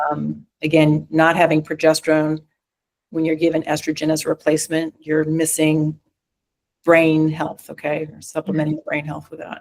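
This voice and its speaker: A woman speaks in a very deep, low pitch with monotone, flat intonation. Her loudness swings a lot. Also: moderate pace. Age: 60s. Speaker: physician specializing in menopause and hormone therapy. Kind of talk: interview conversation. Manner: halting, many fillers.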